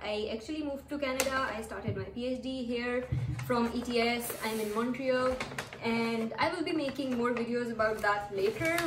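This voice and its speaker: Over noticeable background noise, a woman talks in a high pitch with fairly even intonation. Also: moderate pace. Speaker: vlogger, former lecturer. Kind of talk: casual vlog chat. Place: home room. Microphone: camera far.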